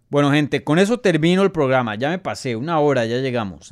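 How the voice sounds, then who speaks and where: A man's animated voice at medium pitch, with lively intonation and a fairly quick pace, in a dry, close, echo-free and very clean recording with a silent background. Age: 20s. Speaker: MMA journalist and podcast host. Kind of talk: live Q&A show commentary. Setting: live stream.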